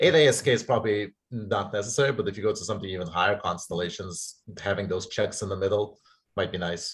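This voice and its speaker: A man with a fairly low pitch and ordinary pitch variation talks very fast in a somewhat breathy voice on a very clean recording with a silent background. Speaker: seminar audience member, researcher. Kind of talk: academic Q&A discussion. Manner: mumbling.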